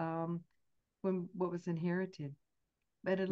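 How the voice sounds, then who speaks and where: A woman with a Southern US accent talks in a warm, enthusiastic tone. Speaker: host introducing a guest.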